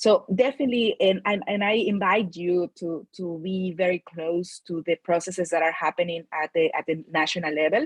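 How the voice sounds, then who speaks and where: A woman with a Mexican accent speaks at a moderate pace in a fairly low pitch. The sound is dry and close, with no echo. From Mexico. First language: Spanish. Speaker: climate finance expert. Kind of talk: panel talk.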